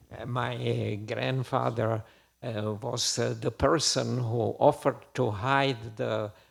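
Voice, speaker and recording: A man delivers his words at a very slow pace, captured in a very clean recording against a silent background. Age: 80s+. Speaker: war eyewitness. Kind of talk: testimony. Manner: halting.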